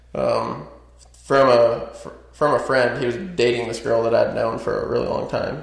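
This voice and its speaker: Against noticeable background noise, a man with an American accent talks at a fairly slow pace. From US West, small town outside Las Vegas, Nevada. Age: 20s. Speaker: door-to-door salesman, former carpenter. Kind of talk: personal life story interview. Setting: studio podcast room.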